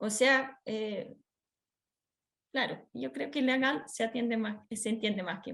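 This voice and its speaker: Pausing long and often, a woman talks at a fairly slow pace with a fairly high pitch and ordinary pitch variation. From Switzerland. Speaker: workshop speaker on children's rights. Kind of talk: training lecture. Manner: hesitant, many fillers.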